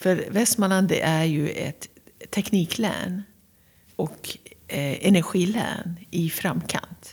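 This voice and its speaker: Speaking with a Persian accent, a woman talks at a very slow pace. Her voice is somewhat breathy, with ordinary pitch variation. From Iran, Tehran. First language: Persian (speaking Swedish). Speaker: county governor. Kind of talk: interview. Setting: castle office.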